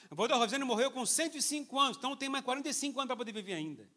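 This man's voice sits at an extremely high pitch, bright and sharp in tone. He speaks in a raised, projected voice at a fairly quick pace. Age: 50s. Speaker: pastor. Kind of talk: sermon. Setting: church.

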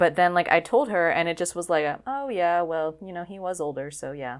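This woman has a plain, everyday voice, fairly low in pitch, and talks at a fairly quick pace. The recording is very clean, with a silent background. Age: 20s. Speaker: podcast co-host. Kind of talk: casual chat.

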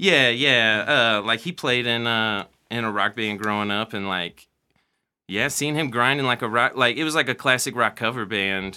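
A man with an American accent talks at medium pitch. His pace is moderate, with ordinary pitch variation. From Missouri, US Midwest. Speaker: hip hop beat producer. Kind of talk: casual chat.

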